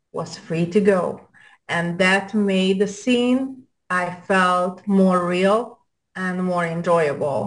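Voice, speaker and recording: A woman speaks at a very slow pace. Her pitch is medium and varies in an ordinary way. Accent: Hungarian. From Hungary. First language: Hungarian. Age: 40s. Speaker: adult film actress. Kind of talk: casual interview. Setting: video call.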